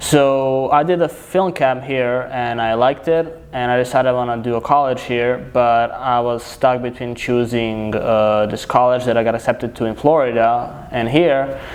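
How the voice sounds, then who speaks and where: A man talks at a moderate pace and medium pitch, with hardly any pauses. His intonation is fairly even, and there is noticeable background noise. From Serbia. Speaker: filmmaker. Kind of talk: casual chat.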